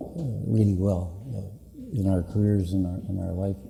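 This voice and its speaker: A man with a Canadian accent and a fairly low pitch speaks at a moderate pace with ordinary pitch variation, with audible room echo. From northwestern Ontario, Canada. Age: 60s. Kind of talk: public address. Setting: conference meeting with audience. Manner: halting, many fillers.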